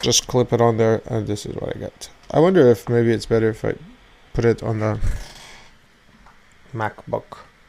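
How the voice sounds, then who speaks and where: Pausing long and often, a man talks in a dark, mellow tone at medium pitch with fairly even intonation. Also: moderate pace. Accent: non-native. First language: not English. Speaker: vlogger. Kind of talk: casual rant to camera. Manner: halting, many repetitions.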